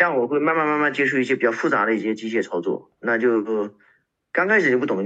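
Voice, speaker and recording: Quiet background behind a man's very fast, lively speech, with a bright, sharp tone and medium pitch. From China, Shenzhen. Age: 30s. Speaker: postal worker. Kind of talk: casual interview.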